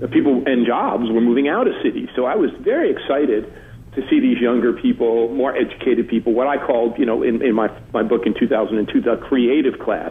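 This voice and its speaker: Against noticeable background noise, a man talks at a fairly quick pace with very even loudness. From New Jersey, Newark. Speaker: urban studies author. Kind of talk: radio interview.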